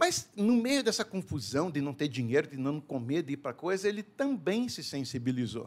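A man speaks at a moderate pace with hardly any pauses. His fairly high voice swings very widely in pitch. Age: 50s. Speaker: business founder and CEO. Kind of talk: interview conversation.

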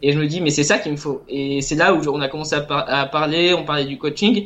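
A man's ordinary speaking voice, fairly high in pitch, fairly quick, with fairly even intonation. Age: 20s. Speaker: illustrator and self-published game author. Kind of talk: casual interview.

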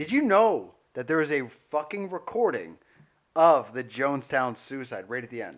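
A man with an unremarkable speaking voice talks at a moderate pace in a fairly high pitch. His intonation is lively, and his loudness swings widely. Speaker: podcast co-host. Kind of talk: casual banter comedy chat. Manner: self-deprecating, jokey.

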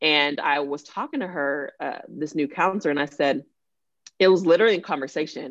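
A woman with a very deep, low voice and a Texan accent talks at a fairly quick pace with ordinary pitch variation over a quiet background. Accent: Texan American. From Dallas-Fort Worth, Texas. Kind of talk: casual chat.

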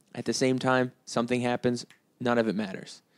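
An unremarkable speaking voice from a man with an American accent and medium pitch, going at a fairly quick pace. The sound is dry and close with no echo, in a very clean recording with a silent background. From US East Coast. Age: 20s. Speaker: musician and podcast host. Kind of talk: solo casual monologue.

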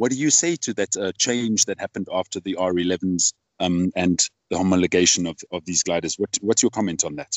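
Very deep, low male speech, fairly quick and with ordinary pitch variation. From South Africa. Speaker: podcast host. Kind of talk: casual interview.

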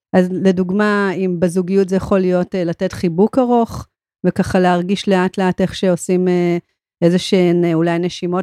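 Heard in a very clean recording with a silent background and a dry, close sound with no echo, a woman speaks in a dark, mellow tone with monotone, flat intonation. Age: 40s. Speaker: podcast co-host. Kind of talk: casual conversation. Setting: studio.

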